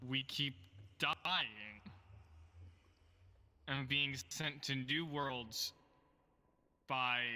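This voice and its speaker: A man uses a put-on character voice at a medium pitch. He goes at a very slow pace with long, frequent pauses. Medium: game stream. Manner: stammering, sarcastic.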